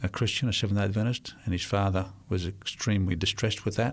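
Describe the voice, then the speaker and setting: This man speaks with an Australian accent, fairly low in pitch and with fairly even intonation. The recording is very clean and the background silent. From Australia, Sydney. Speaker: volunteer missionary builder. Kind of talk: interview.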